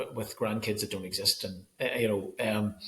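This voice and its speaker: A man speaks with a Northern Irish accent. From Northern Ireland. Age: 40s. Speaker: school photographer. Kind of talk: casual chat. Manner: halting.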